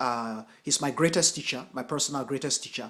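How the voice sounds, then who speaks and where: With lively intonation, a man delivers his words at a fairly quick clip. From US, Nigerian parents (Edo State). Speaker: Buddhist teacher and translator. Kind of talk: lecture. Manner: halting, many fillers.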